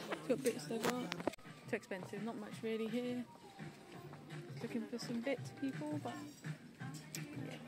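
Music plays behind a woman speaking with ordinary pitch variation. The sound is dry, with no echo. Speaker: vlogger. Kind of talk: casual vlog chat. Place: shop. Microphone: phone near.

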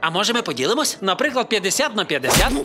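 A cartoonish character voice with a bright, sharp tone, big pitch swings and a very fast pace, over faint music in the background. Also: man, high pitch for a man.

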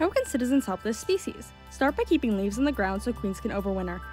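A woman talks at a very fast pace with music playing in the background. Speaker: student animator. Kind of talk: educational narration. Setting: home recording, non-professional mic. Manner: rushed.

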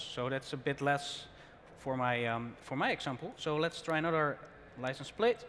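There is light background noise as a man speaks at a moderate pace, with a fairly high pitch and ordinary pitch variation. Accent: Dutch. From Netherlands. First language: Dutch. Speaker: tech presenter; presenter. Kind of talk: live tech demo. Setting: conference stage with audience. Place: hall.

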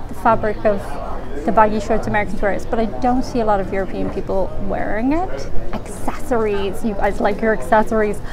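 A woman at a fairly quick pace, ordinary pitch variation, clear music in the background. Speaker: travel vlogger. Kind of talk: casual vlog chat. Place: home room. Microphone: phone near.

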